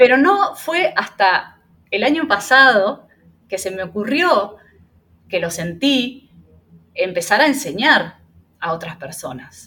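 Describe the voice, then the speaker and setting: Very slowly and with long, frequent pauses, a woman with a fairly high pitch speaks in very wide pitch swings and big swings in loudness. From Argentina. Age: 30s. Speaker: Reiki teacher and small business owner. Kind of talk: interview. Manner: hesitant, many fillers.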